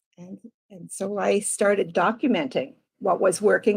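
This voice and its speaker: With vocal fry in her voice, a woman talks at a moderate pace. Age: 60s. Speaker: life coach. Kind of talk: interview.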